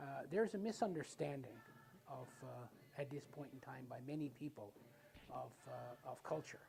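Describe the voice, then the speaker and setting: The speaker talks in a Newfoundland accent. The pace is moderate. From Newfoundland, Canada. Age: 70s. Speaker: Mi'kmaq community elder. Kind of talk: documentary interview.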